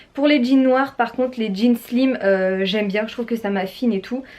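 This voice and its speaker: The woman's pitch is fairly high, with ordinary variation. She speaks at a fairly slow pace. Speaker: fashion YouTuber. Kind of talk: haul and try-on vlog. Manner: animated.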